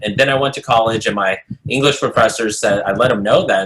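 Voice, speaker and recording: This is a man speaking. He has an American accent. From US, Japanese immigrant family. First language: Japanese. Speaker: motivational speaker. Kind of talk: interview. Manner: halting.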